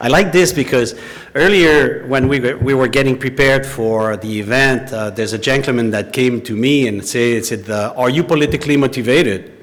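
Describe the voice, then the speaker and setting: Over noticeable background noise, a man with a French accent talks at a moderate pace and medium pitch with ordinary pitch variation. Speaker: former intelligence investigator. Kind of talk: public talk.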